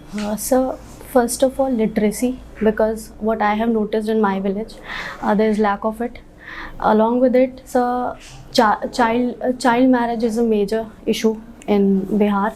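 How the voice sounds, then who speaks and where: A woman's fairly high voice at a moderate pace, with monotone, flat intonation. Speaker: civil service candidate. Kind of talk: job interview. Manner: halting.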